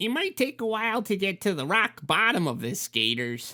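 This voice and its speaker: This put-on character voice has a fairly high pitch, very wide pitch swings and a moderate pace. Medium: read story. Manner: explanatory, pedantic.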